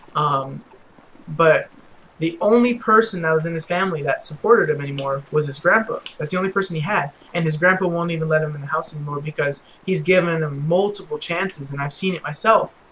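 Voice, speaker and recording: Through noticeable background noise, a man talks in a high-pitched voice. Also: ordinary pitch variation, fairly quick pace. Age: 20s. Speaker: gaming youtuber. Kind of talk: casual gameplay commentary storytelling. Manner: stuttering a little; hesitant, many fillers.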